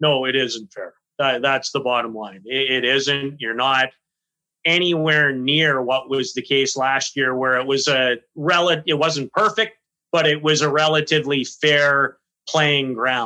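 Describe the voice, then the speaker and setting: With a normal speaking voice, a man speaks fairly slowly at a fairly high pitch with ordinary pitch variation. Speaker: podcast co-host. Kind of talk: casual chat, podcast interview.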